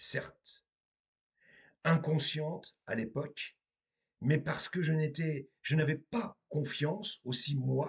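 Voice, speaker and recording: A somewhat breathy man at a fairly high pitch, very slow pace, ordinary pitch variation and long, frequent pauses. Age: 50s. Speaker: medium and tarot reader. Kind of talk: spiritual monologue to viewers.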